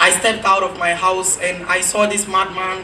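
A man speaks in a raised, projected voice with a high pitch and an animated tone. His pace is moderate, with light background noise behind him. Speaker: spoken word poet. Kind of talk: spoken word poem performed on stage. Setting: stage with audience. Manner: animated, rhetorical, building rhythmically with repeated questions; satirical, accusing. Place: stage.

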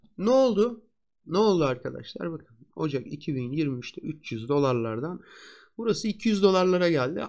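A man talks at a very slow pace in a high pitch. His pitch swings very widely over a quiet background. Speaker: stock market analyst. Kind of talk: market analysis tutorial. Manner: conversational.

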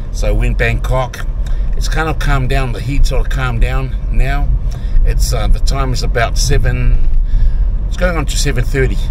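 There is noticeable background noise behind a man whose voice has a dry sound with no echo. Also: moderate pace. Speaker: travel vlogger. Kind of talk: casual vlog chat. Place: car. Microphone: phone near.

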